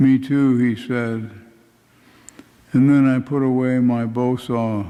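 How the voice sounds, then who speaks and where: Very slowly and in a monotone, flat intonation, a man speaks at a medium pitch. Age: old. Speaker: poet. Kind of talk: reading aloud own poetry.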